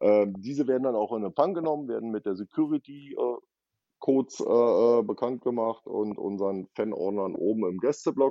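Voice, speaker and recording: A man with a medium pitch and ordinary pitch variation, a normal speaking voice. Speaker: ice hockey fan liaison. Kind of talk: casual chat. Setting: remote line. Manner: slow.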